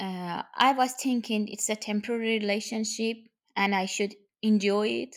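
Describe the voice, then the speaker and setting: A woman with a Persian accent, fairly high in pitch, at a moderate pace with monotone, flat intonation. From Iran. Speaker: guest's wife. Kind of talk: interview conversation. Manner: halting.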